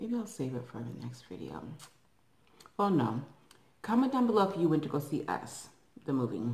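Amid audible room echo, a woman with a very deep, low pitch and vocal fry talks at a fairly quick pace, her loudness swinging widely. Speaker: eating vlogger. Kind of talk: casual vlog chat. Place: home room. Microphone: phone near.

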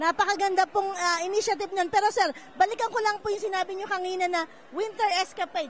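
A woman talks at a very fast pace in an extremely high pitch with fairly even intonation. The sound is dry with no echo, over light background noise. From Philippines. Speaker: community TV interviewer. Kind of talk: event interview. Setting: indoor event venue. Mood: warm, festive. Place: hall. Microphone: handheld.

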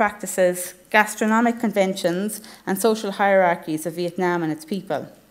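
A woman speaks with a western Irish accent at a moderate pace. Her pitch varies in an ordinary way. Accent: Irish (west of Ireland). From Ireland, Galway. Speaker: academic researcher. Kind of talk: conference presentation. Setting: conference hall with audience.

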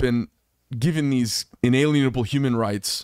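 The man's voice has ordinary pitch variation, in a dry sound with no echo against a quiet background. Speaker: podcast host. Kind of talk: podcast monologue commentary. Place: studio. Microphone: studio mic.

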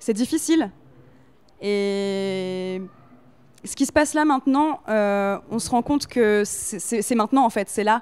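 Speaking at a very slow pace with long, frequent pauses, a woman uses lively intonation at a fairly high pitch. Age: 20s. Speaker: activist. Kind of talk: interview. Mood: calm, committed. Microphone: handheld.

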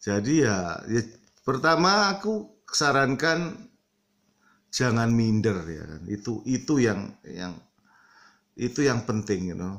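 Against a quiet background, a man speaks very slowly, with long, frequent pauses, very wide pitch swings and big shifts in loudness. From Indonesia. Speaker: vlogger; vlogger giving advice. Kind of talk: casual vlog monologue. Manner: mixes English filler words into Indonesian. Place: home room. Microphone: phone near.

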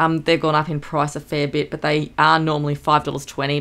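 Speaking at a fairly quick pace, a woman has a very deep, low pitch. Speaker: homemaker vlogger. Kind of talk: casual vlog chat. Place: home room.

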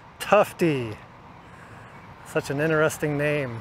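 A man is talking. The sound is dry with no echo, and light background noise is present. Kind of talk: casual vlog commentary. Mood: relaxed, amused. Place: street. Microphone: phone near.

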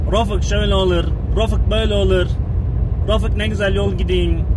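At a moderate pace, the voice comes through in a dry sound with no echo and noticeable background noise. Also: man. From Gaziantep, Turkey. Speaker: truck driver. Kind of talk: complaining rant to friend on camera. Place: car. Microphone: phone near.

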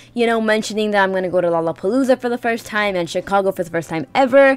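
A woman talking at a very fast pace, with ordinary pitch variation. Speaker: vlogger. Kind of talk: casual vlog chat. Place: home room. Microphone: webcam.

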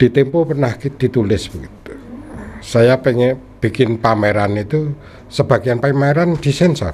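Over light background noise, a somewhat breathy man speaks at a medium pitch with ordinary pitch variation. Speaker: newspaper cartoonist. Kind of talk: casual interview; interview answer. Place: studio. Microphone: studio mic.

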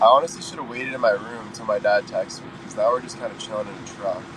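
The audio is dry and free of echo. Noticeable noise runs behind the man who is talking. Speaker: livestreamer. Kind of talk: casual livestream chat reading comments. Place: car. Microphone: phone near.

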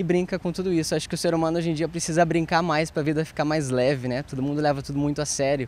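A man with a fairly high pitch talks at a very fast pace with hardly any pauses, his intonation fairly even and the sound dry with no echo. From Rio Grande do Sul, Passo Fundo; Rio Grande do Sul. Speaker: actor and clown; actor. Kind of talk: TV interview. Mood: cheerful, smiling. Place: garden. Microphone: handheld.

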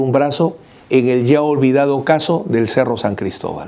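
Dark and mellow in tone, a man speaks at a fairly high pitch. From Peru. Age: 50s. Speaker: lawyer. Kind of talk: video commentary. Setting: office. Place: office. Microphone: lapel.

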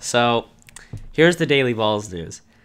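At a moderate pace, a man speaks with pitch that varies in an ordinary way. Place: home room. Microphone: video call.

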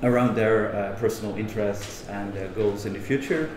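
A man speaks at a moderate pace, with audible room echo around him.

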